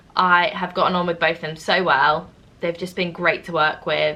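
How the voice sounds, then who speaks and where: A woman with an East Midlands accent talks at a moderate pace, her fairly low voice bright and sharp in tone, with monotone, flat intonation. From East Midlands, England. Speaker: drama school student and vlogger. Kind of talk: casual Q&A vlog.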